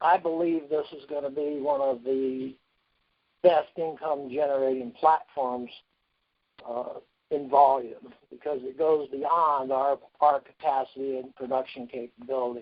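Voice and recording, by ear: A man at medium pitch, fairly slow pace and fairly even intonation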